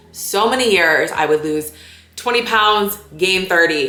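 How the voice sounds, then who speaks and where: Amid noticeable background noise and audible room echo, a woman speaks in an animated tone. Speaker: lifestyle vlogger. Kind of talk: casual vlog talk to camera. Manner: fast.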